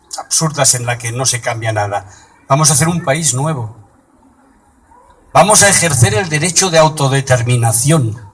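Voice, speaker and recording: A man speaks at a moderate pace in a medium pitch with lively intonation. He leaves long, frequent pauses, and background noise is noticeable. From Madrid, Spain. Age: 70s. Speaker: political activist. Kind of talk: political speech. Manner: halting.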